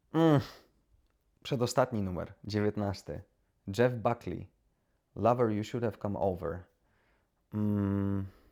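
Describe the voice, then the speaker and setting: A voice with a dark, mellow tone and ordinary pitch variation speaks at a very slow pace with long, frequent pauses. The recording is very clean, with a silent background. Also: man, fairly low pitch for a man. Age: 30s. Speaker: YouTuber. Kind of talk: casual monologue to camera. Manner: hesitant, with many repetitions.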